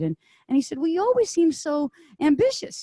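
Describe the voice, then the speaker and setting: In a Canadian accent, a woman's dark, mellow voice swings very widely in pitch, with a dry, close sound and no echo. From Ontario, Canada. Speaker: singer-songwriter. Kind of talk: personal storytelling to an audience. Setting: conference stage.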